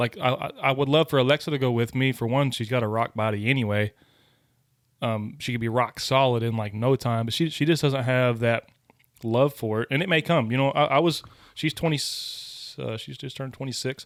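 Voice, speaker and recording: A man talks at a fairly quick pace in a medium pitch with ordinary pitch variation, in an ordinary speaking voice. The recording is very clean, with a silent background. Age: 30s. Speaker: podcast co-host and hunter. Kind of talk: casual chat.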